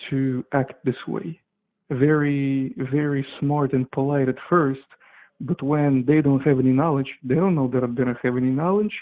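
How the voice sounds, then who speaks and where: Fairly high in pitch, a man speaks at a moderate pace with fairly even intonation. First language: not English. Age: 20s. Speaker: caller. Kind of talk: call-in conversation. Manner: halting.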